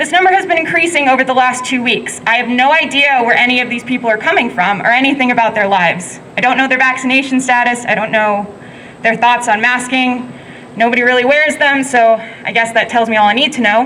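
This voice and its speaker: Talking very fast at a high pitch with very even loudness and ordinary pitch variation, a woman is heard with audible room echo and noticeable background noise. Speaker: protest speaker, frontline worker. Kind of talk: protest speech.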